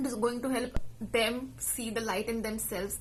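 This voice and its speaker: A woman's fairly high, fairly even voice amid audible room echo and noticeable background noise. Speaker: life coach and podcast host. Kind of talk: casual monologue. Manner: fast.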